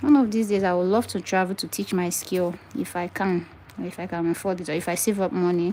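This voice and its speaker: A woman with a Nigerian accent talks at a very fast pace, her medium pitch moving with ordinary variation and her tone dark and mellow. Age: 20s. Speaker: wig maker. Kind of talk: live stream tutorial and chat. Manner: animated.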